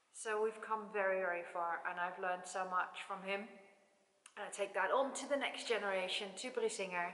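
A woman's voice, with fairly even intonation, carries audible room echo. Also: moderate pace. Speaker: horse owner vlogger. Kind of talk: casual vlog chat. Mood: warm, proud, reflective. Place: hall. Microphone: camera far.

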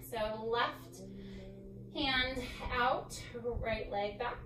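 Music plays in the background as a woman speaks. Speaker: yoga instructor. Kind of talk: instruction cues. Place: home room.

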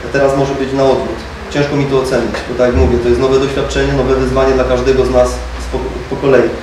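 Amid noticeable background noise and audible room echo, a man with a Polish accent talks at a very fast pace. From Poland. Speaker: football player. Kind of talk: press conference. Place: meeting room.

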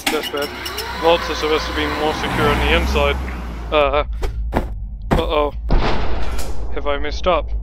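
Long, frequent pauses at a moderate pace, dry with no echo, under loud background noise. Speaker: gaming channel host. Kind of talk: casual gameplay commentary. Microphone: studio mic.

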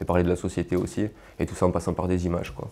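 At a very fast pace, a man with a Marseille accent speaks in a very deep, low pitch and a dark, mellow tone. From Marseille suburbs, southern France (Martigues); southern France. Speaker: rapper; guest. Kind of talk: interview. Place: home room. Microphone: lapel.

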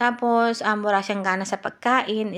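The intonation is monotone and flat. The woman's pitch sits at a medium level. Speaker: health vlogger. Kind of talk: informal talk to camera. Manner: halting.

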